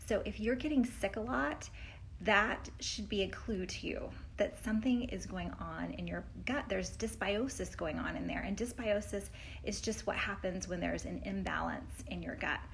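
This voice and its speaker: At a moderate pace, a woman talks with audible room echo. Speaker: health coach. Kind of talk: educational vlog talk. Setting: indoors at friends' place on trip. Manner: animated.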